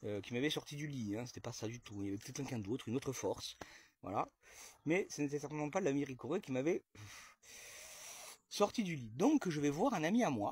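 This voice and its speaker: With an animated tone and lively intonation, a somewhat breathy man speaks at a fairly high pitch and a fairly quick pace, leaving long, frequent pauses. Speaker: comedian telling a sketch story. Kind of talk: storytelling monologue to camera. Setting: outdoors in own garden. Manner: fast; animated, sarcastic exclamations.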